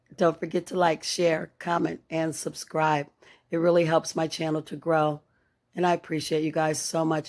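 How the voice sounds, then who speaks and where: A woman speaks in a very deep, low pitch with monotone, flat intonation. The recording is very clean, with a silent background. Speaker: craft YouTuber. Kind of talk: tutorial. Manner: casual, warm.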